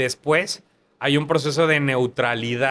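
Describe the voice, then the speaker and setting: Speaking at a moderate pace, a man uses fairly even intonation at a fairly high pitch. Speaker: actor. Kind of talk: interview conversation.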